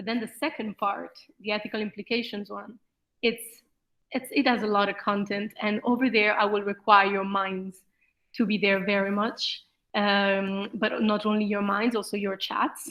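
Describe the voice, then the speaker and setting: Using an ordinary speaking voice, a woman talks at a moderate pace and medium pitch with fairly even intonation. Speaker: lecturer. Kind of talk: lecture.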